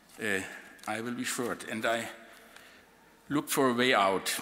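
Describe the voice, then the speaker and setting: A man with a German accent speaks at a fairly slow pace and a medium pitch. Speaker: outgoing university president. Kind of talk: farewell speech. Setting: reception with audience.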